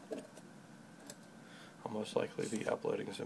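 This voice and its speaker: Against noticeable background noise, a man is soft-spoken. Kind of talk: ASMR tutorial. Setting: home recording with a microphone setup. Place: workshop. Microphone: phone near.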